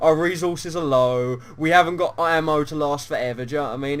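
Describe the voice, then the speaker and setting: This man has a British accent and a fairly high pitch. He talks at a moderate pace with ordinary pitch variation. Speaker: gaming YouTuber. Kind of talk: casual chat.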